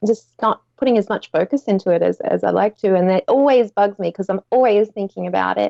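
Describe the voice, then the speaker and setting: Fairly quick speech from a woman with an Australian accent. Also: hardly any pauses. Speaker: Etsy seller. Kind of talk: casual chat. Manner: loud.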